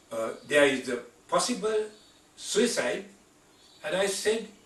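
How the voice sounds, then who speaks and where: A man's high voice with lively intonation, over noticeable background noise. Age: 80s+. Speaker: physician, internal medicine specialist. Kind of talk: medical lecture / patient education talk.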